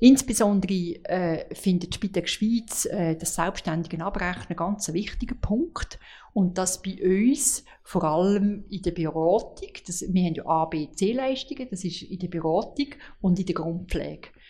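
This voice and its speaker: A woman speaks at a fairly slow pace in a dark, mellow tone. Her voice is somewhat breathy, with ordinary pitch variation. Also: medium pitch for a woman. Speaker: home care association director. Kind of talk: interview. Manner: halting.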